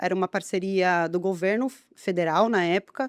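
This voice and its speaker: The recording is very clean, with a silent background. A woman speaks in a São Paulo accent. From Brazil, São Paulo state (Guarulhos). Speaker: biologist. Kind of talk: podcast interview.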